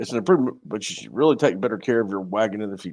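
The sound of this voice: Putting on a character voice in a Southern accent, a man rattles along at a very fast pace, raspy and fairly low-pitched, with lively intonation and big swings in loudness.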